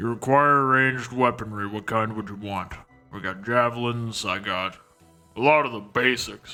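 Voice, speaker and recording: A man speaks at a moderate pace in a put-on character voice with a medium pitch, while faint music plays in the background. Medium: actual play. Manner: curt, gruff.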